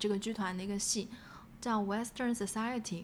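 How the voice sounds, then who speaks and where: A woman's voice with ordinary pitch variation. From Shanghai, China. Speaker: playwright. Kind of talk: interview conversation. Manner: halting, many fillers.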